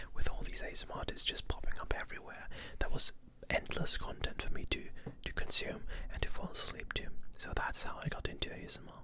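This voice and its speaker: Someone whispers at a fairly quick pace, stopping for long, frequent pauses. Noticeable background noise runs underneath. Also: man, big swings in loudness. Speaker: ASMR artist. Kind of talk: ASMR whispered talk. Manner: whispered, soft-spoken.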